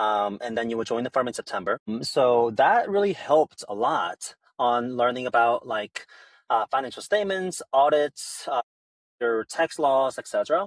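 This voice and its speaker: A man's medium-pitched voice in a Korean accent, lively in intonation, at a moderate pace, with a dry, close sound and no echo. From South Korea, moved to US at 13. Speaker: startup founder. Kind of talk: podcast interview.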